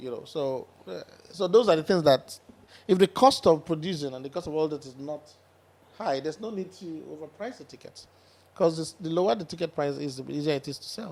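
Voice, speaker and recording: A man with a fairly high pitch and ordinary pitch variation talks at a fairly quick pace, his loudness swinging widely between long, frequent pauses. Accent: Nigerian. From Nigeria, Delta State (Asaba). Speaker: concert promoter. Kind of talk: podcast interview. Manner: fast.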